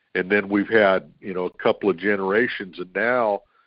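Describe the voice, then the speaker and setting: This man has an unremarkable speaking voice with a fairly low pitch. His pitch variation is ordinary. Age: 60s. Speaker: co-host. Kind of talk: casual chat.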